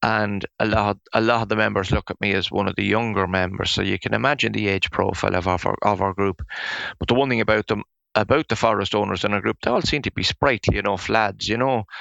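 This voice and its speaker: A voice in an Irish accent races along at a very fast pace, bright and sharp in tone with vocal fry and ordinary pitch variation. The sound is dry and close with no echo, over a quiet background. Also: man, fairly low pitch for a man. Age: 60s. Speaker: forest owner and firewood business owner. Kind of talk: interview. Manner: halting, with frequent repetitions.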